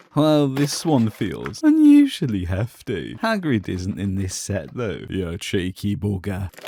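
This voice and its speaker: Speaking with a British accent, a man uses a fairly low, dark, mellow voice at a fairly slow pace, with hardly any pauses and very wide pitch swings. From Britain. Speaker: toy unboxing youtuber. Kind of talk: comedic unboxing commentary.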